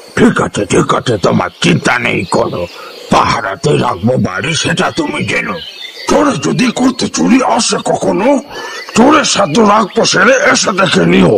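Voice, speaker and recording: A man puts on a cartoonish character voice at a fairly slow pace, with clear background noise. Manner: gleeful, boastful.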